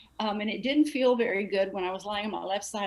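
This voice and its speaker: A woman talks in a normal speaking voice at a medium pitch. Her pace is fairly quick, with ordinary pitch variation. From Texas. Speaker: astral projector, discussion group member. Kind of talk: casual group discussion.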